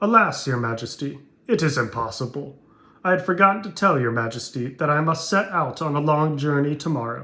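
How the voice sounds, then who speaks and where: A man's put-on character voice, fairly high-pitched, with lively intonation and a fairly quick pace. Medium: read story. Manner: sly, scheming.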